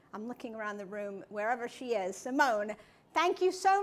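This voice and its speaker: This woman speaks with an American accent. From US. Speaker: trade association CEO. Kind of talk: keynote speech. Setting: stage with audience.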